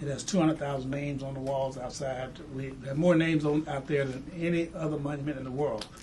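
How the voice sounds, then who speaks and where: A man speaks at a very fast pace and a fairly high pitch in a monotone, flat delivery. Audible room echo and noticeable background noise fill the recording. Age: 70s. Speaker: civil rights veteran and museum founder. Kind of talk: interview. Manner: halting, repeats words.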